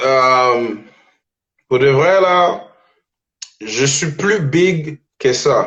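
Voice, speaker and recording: In audible room echo, a man with a fairly high pitch speaks at a very slow pace, with long, frequent pauses and ordinary pitch variation. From Dominican Republic, raised in Montreal. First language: Spanish (speaking French). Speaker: rapper. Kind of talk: casual interview. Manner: halting, repeats words.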